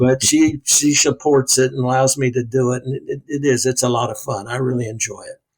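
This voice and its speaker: A man talks at medium pitch in a somewhat breathy voice, with monotone, flat intonation. His pace is fairly quick, with hardly any pauses. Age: 70s. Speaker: basketball color analyst, former coach. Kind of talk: casual interview. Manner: halting.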